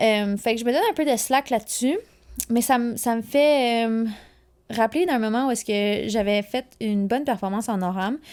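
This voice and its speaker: The recording is very clean with a silent background, and a woman talks at a fairly high pitch with ordinary pitch variation. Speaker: alpine ski racer and podcast host. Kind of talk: casual solo podcast monologue. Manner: fast; animated.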